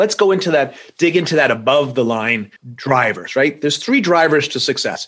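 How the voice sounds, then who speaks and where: A man's unremarkable speaking voice, pitched fairly high, at a moderate tempo and with lively intonation. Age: 60s. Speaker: accounting firm executive. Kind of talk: podcast interview.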